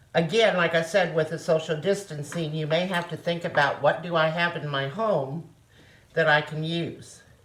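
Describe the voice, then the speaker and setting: Speaking at a moderate pace, a woman with a Missouri accent has a fairly low, somewhat breathy voice and fairly even intonation. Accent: Midwestern American (Missouri). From Osage County, Missouri. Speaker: retired nurse. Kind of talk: home cooking demonstration. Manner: casual, homely.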